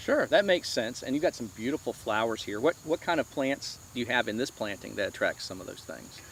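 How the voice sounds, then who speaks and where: An ordinary speaking voice belongs to a man of medium pitch with lively intonation and big swings in loudness. He moves at a fairly quick pace with hardly any pauses. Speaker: interviewer / show host. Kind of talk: interview question, casual talk.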